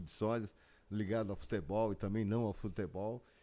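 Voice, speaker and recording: Fairly even intonation in a man's dark, mellow voice, fairly low in pitch. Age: 70s. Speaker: celebrity lookalike. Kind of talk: casual interview chat. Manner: halting.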